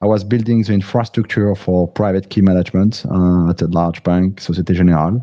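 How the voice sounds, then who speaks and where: In a French accent, a man speaks at a fairly low pitch. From France. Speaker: crypto app founder, engineer. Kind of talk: livestream interview.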